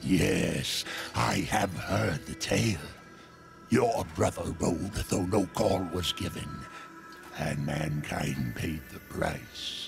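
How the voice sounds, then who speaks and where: A man's put-on character voice, very deep and low, at a very slow pace with clear music in the background. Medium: short film. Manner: sly, chuckling, theatrical.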